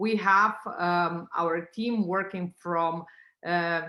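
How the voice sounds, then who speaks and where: On a very clean recording with a silent background, a woman with a non-native accent speaks at a fairly low pitch in a bright, sharp tone with fairly even intonation. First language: not English. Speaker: tech company founder. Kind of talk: business pitch presentation. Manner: halting, many fillers.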